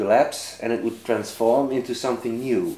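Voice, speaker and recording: With a Dutch accent, a man speaks at a fairly slow pace in a dark, mellow tone with fairly even intonation. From Netherlands. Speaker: author and lecturer. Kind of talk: interview. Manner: halting.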